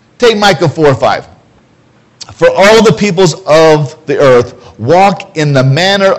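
Lively intonation marks a man's speech, with noticeable background noise around it. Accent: American. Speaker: preacher. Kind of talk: sermon. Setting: church. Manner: loud, animated.

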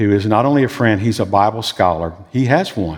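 A man with a Southern US accent speaks at a fairly low pitch with ordinary pitch variation. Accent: Southern US drawl. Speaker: pastor. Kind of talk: sermon. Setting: church.

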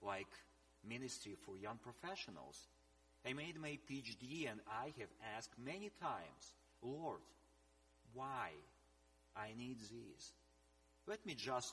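A man talks at a very slow pace, with long, frequent pauses and vocal fry. His tone is bright and sharp, and his pitch swings very widely. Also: medium pitch for a man. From eastern Ukraine. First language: Russian or Ukrainian. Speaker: missionary leader and scholar. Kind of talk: sermon.

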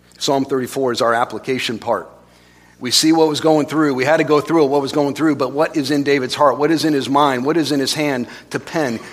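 A man talks at a fairly quick pace with fairly even intonation and a fairly high pitch. He has an unremarkable speaking voice. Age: 40s. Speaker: pastor. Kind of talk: sermon.

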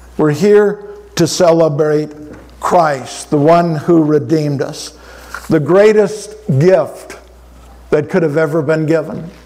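Very slowly and with long, frequent pauses, a man speaks at a high pitch with fairly even intonation over noticeable background noise. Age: 70s. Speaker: pastor. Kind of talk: sermon. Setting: church.

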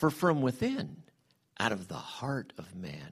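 Vocal fry runs through a very slow delivery with very wide pitch swings. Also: man. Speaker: church member leading prayer and scripture reading. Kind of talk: prayer and scripture reading. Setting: church.

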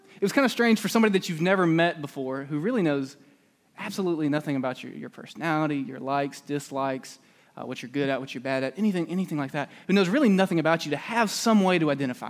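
Very fast and with lively intonation, a man talks. His pitch is fairly high. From Alabama, US South. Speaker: preacher. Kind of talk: sermon. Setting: church.

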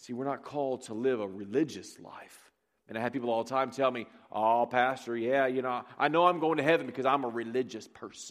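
An animated man at medium pitch and a fairly quick pace, with big swings in loudness, on a very clean recording with a silent background. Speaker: pastor. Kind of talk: sermon. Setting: church with congregation. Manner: animated, preaching to a live congregation.

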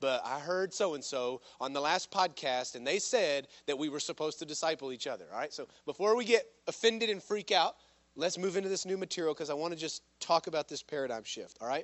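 Lively in intonation, a man with a fairly high pitch talks at a fairly quick pace. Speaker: pastor. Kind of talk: sermon. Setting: church. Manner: fast.

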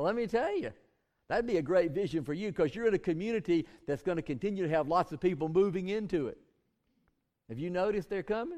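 Very fast, lively speech from a man with a Southern US accent, high in pitch and dark, mellow in tone. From US South, southwest Georgia. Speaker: pastor. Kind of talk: sermon. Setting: church.

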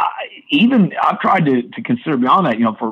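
A man talks fairly quickly in a normal speaking voice, with ordinary pitch variation. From US Midwest (southern Illinois). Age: 50s. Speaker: pastor and church official. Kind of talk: interview.

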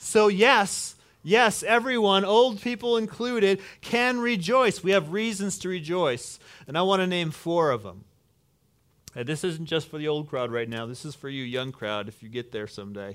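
In a very clean recording with a silent background, a man speaks at a high pitch with very wide pitch swings and big swings in loudness. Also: moderate pace. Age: 50s. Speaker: pastor. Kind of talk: sermon.

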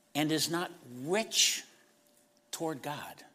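Very slowly, a man speaks in a raised, projected voice with a bright, sharp tone, in a very clean recording with a silent background. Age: 60s. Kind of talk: sermon. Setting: church.

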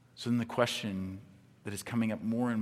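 A man with a plain, everyday voice, fairly even intonation and a fairly quick pace. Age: 40s. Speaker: pastor. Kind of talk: sermon. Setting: church with live audience. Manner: conversational, frequent fillers and repetitions.

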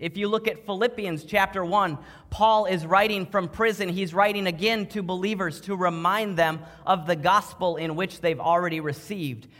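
Against noticeable background noise, a high-voiced man with an American accent talks at a moderate pace with ordinary pitch variation. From Minnesota. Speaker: pastor. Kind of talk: sermon. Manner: animated.

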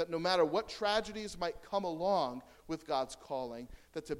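A man with an American accent speaks at a moderate pace in an ordinary speaking voice, his pitch fairly high. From United States. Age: 30s. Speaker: guest preacher. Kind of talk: sermon. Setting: church.

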